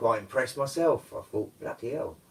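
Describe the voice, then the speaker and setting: A man speaks with a London accent. He mumbles. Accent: old London tang. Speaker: live streamer, amateur karaoke singer. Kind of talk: casual live stream chat. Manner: mumbling.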